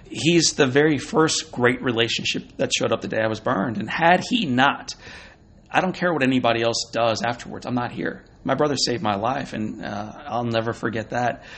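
A man with an American accent speaks at a medium pitch and a fairly quick pace. It is an unremarkable speaking voice with ordinary pitch variation. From Missouri, US Midwest. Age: 40s. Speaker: motivational speaker. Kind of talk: interview. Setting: at a conference.

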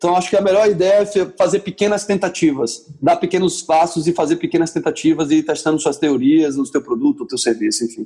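A man with a high pitch and a dark, mellow tone talks at a fairly quick pace with lively intonation and hardly any pauses. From southern Brazil, Porto Alegre. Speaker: entrepreneur. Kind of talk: interview.

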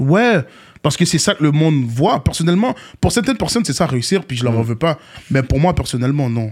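Very wide pitch swings run through this man's fairly high, somewhat breathy voice as he speaks at a fairly quick pace on a very clean recording with a silent background. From Montréal, Quebec. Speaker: rapper. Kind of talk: casual interview.

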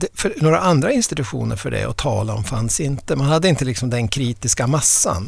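The speech moves at a fairly quick pace with hardly any pauses. Noticeable background noise runs underneath. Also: man, medium pitch for a man, lively intonation. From inland Västerbotten, northern Sweden. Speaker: historian of ideas and professor. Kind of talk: podcast interview. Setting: studio. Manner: halting, frequent repetitions.

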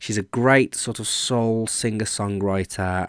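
A man's fairly low voice at a moderate pace and fairly even intonation, in a dry, close sound with no echo. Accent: Birmingham. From Birmingham, England. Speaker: podcast host. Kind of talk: scripted intro; casual interview.

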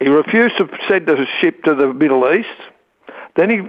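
Here is a man with an Australian accent. He speaks at a moderate pace with lively intonation. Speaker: talkback caller. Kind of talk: talkback call. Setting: phone call.

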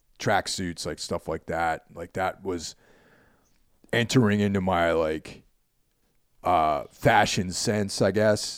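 Over a silent background in a very clean recording, a man with an American accent speaks in a very deep, low pitch at a fairly slow pace, with fairly even intonation and long, frequent pauses. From New York suburbs, US. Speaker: podcast host. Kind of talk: casual chat.

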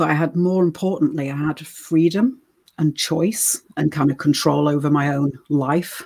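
A woman with an English accent speaks at a fairly slow pace. Her pitch is very deep and low, with ordinary variation. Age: 40s. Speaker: former sex worker and vegan cooking youtuber. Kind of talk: interview.

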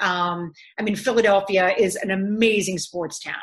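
Over a quiet background, a woman with an American accent speaks at a medium pitch with fairly even intonation. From Canada. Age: 50s. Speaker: sports broadcaster. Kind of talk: casual interview. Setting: video call.

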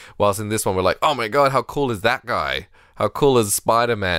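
A man with an Australian accent and vocal fry, at a fairly quick pace with lively intonation, on a very clean, dry, close recording with no echo and a silent background. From Australia, Sydney. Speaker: podcast host. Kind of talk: casual chat.

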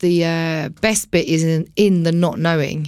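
A woman's fairly low voice at a fairly slow pace. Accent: Essex. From Essex, England (Romford, Billericay). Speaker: DJ. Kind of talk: casual chat. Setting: studio.

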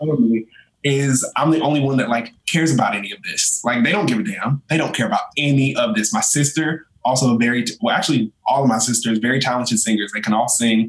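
With an American accent and an ordinary speaking voice, a man talks at a fairly quick pace with hardly any pauses, his medium pitch showing ordinary variation. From North Carolina. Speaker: content creator. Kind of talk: casual chat.

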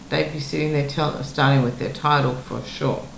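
A woman with an Australian accent speaks in a very deep, low pitch. Noticeable background noise and audible room echo surround her. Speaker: podcast host. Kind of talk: interview.

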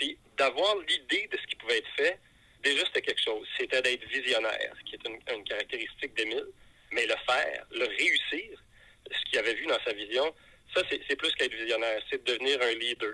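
Dry, close sound with no echo, a man talking at a fairly quick pace. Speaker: veterinarian. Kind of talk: phone call.

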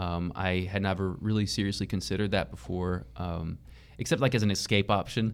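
A man with an American accent has a plain, everyday voice. He talks at a fairly quick pace and a fairly low pitch with ordinary pitch variation. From East Texas. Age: 20s. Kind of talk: interview conversation.

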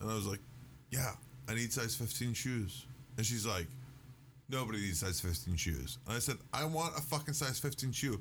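A man with a medium-pitched voice and vocal fry speaks in an American accent at a moderate pace, with lively intonation and long, frequent pauses. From US South, northern Louisiana. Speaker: podcast guest. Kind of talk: casual chat.

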